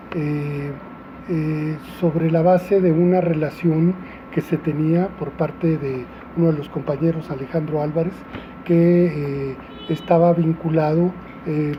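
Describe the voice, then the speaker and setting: A man speaks at a fairly slow pace in a fairly high pitch, his intonation monotone and flat, with long, frequent pauses and noticeable background noise. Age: 60s. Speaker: restaurateur and former activist. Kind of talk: interview testimony. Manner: halting, many fillers.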